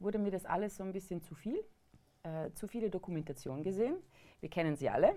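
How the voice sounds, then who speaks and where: A woman speaks with very wide pitch swings. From Vorarlberg, western Austria. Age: 30s. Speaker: hunter and cooking show presenter. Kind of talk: casual chat. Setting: studio.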